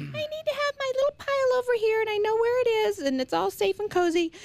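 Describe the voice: Using a put-on character voice, a woman speaks very fast at an extremely high pitch.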